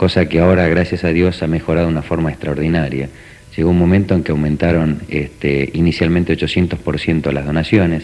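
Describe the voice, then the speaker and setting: A man's very deep, low monotone at a very fast pace, over noticeable background noise. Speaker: parent of transplant patient. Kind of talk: TV interview.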